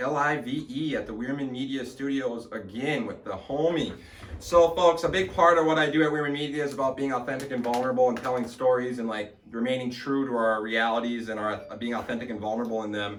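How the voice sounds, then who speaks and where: Over noticeable background noise and audible room echo, a man at a medium pitch talks at a very fast pace with hardly any pauses. His tone is animated, with ordinary pitch variation. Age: 20s. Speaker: podcast host. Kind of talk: casual interview chat. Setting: studio.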